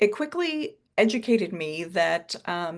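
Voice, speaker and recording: A woman with an American accent speaks with vocal fry against a quiet background. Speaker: advanced practice nurse. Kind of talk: webinar presentation. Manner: fast.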